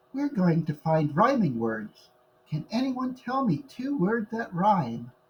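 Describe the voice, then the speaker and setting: A put-on character voice at a middle pitch, warm in tone, fairly slow, with very wide pitch swings. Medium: read story. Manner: warm, encouraging.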